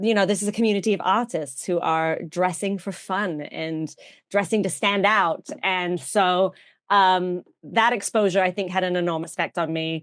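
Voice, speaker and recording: A woman's medium-pitched voice at a moderate pace, fairly even in intonation, over a quiet background. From England, outskirts of London (Surbiton). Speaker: vintage fashion influencer and actress. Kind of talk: podcast interview.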